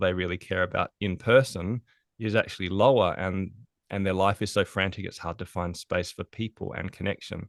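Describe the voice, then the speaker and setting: A man with an Australian accent speaks at a fairly low pitch and a fairly quick pace, his intonation fairly even, the sound dry and close with no echo against a quiet background. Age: 40s. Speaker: productivity consultant. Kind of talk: podcast interview.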